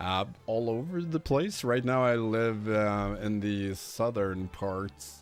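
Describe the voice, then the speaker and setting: A man with a Swedish accent talks at a very slow pace with hardly any pauses, his pitch fairly low. His intonation is lively, and music plays in the background. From Sweden (raised on Öland). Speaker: game streamer. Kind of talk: live stream chat. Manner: casual, conversational.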